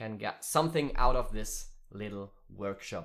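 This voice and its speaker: A man with a German accent, at a fairly slow pace, with ordinary pitch variation. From Germany. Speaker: musician and streaming workshop teacher. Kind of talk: online workshop tutorial. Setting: live stream. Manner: halting, many fillers.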